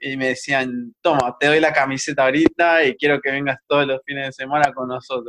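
The sound is dry and close with no echo as a man talks at a fairly quick pace with hardly any pauses. His bright, sharp voice is fairly high-pitched and flat in a monotone. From Mexico, then Costa Rica and Buenos Aires. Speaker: video game designer. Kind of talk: casual interview.

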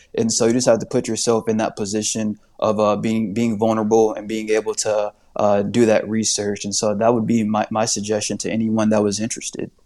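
A man with an American accent speaks at a fairly quick pace in a monotone, flat delivery. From Indiana (Indianapolis). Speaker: appraiser trainee. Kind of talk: interview podcast.

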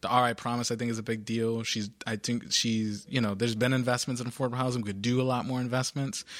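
Very fast speech in a monotone, flat intonation, with hardly any pauses. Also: man, medium pitch for a man. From Providence, Rhode Island. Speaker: school board member and nonprofit founder. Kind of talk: interview. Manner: halting, many fillers and repetitions.

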